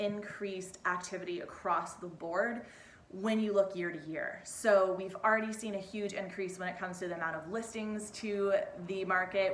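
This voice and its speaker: There is audible room echo around a woman's voice. She has a medium pitch and fairly even intonation. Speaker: real estate agent. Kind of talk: market update video. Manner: fast; casual, chatty.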